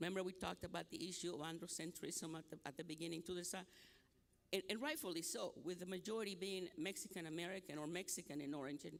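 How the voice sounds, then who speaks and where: Talking very fast with ordinary pitch variation, the speaker has a Nicaraguan accent. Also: man. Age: 70s. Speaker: academic speaker. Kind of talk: conference presentation.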